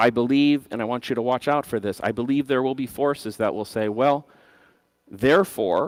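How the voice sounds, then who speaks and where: A man with a plain, everyday voice, medium pitch and ordinary pitch variation at a moderate pace, on a very clean recording with a silent background. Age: 50s. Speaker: conference speaker, bitcoin system designer. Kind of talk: conference talk.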